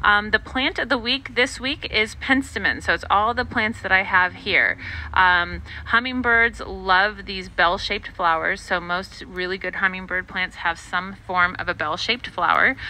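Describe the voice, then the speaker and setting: The voice moves at a moderate pace in a dry sound with no echo. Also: woman. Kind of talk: tutorial. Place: garden.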